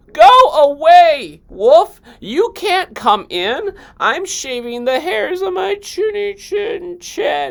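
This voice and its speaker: At a very slow pace and with hardly any pauses, a man uses a put-on character voice at an extremely high pitch, full of very wide pitch swings. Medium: read story.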